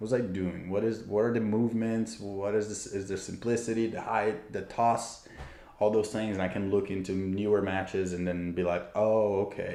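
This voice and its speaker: Heard with audible room echo, a man talks at a moderate pace in a Portuguese accent. His pitch is fairly low and his intonation fairly even. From Brazil. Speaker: tennis player and YouTuber. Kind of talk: livestream Q&A. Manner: casual, hesitant with fillers.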